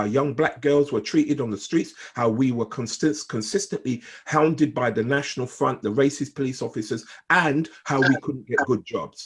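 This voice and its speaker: There is lively intonation in this man's somewhat breathy voice. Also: very clean recording, silent background. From Jamaica. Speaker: gang intervention consultant. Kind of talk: group discussion statement. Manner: repetitive stammering; emphatic.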